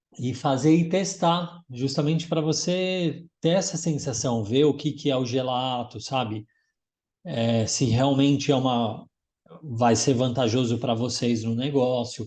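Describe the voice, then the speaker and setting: A somewhat breathy man at a medium pitch, fairly slow in pace, with ordinary pitch variation and a quiet background. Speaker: gelato instructor. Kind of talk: casual chat.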